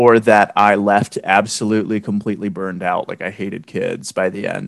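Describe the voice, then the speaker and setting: A man at a moderate speed, fairly low in pitch, with an unremarkable speaking voice. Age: 20s. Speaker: high school English and theater teacher. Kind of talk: casual chat.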